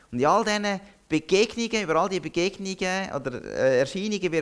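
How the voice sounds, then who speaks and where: A man is talking here. His pitch is high. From Zürcher Oberland, Switzerland. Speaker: pastor. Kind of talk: sermon.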